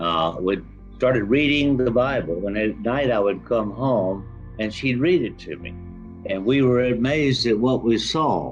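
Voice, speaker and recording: With music in the background, a man speaks at a fairly slow pace in a medium pitch with lively intonation. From Florida. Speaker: author and real estate developer; Vietnam war veteran. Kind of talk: interview answer. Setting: online call.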